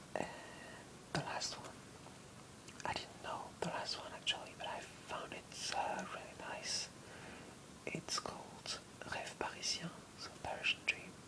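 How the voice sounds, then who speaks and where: Someone whispers very slowly, leaving long, frequent pauses. Noticeable background noise sits behind the voice. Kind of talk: casual talk to listeners. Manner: whispered.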